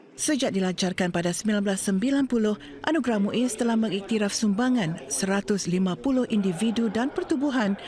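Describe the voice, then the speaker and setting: Against noticeable background noise, a woman speaks at a moderate pace with a medium pitch and lively intonation. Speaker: news reporter. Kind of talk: formal newsreading, a crisp, steady broadcast voice-over. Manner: formal; measured, even-paced and authoritative.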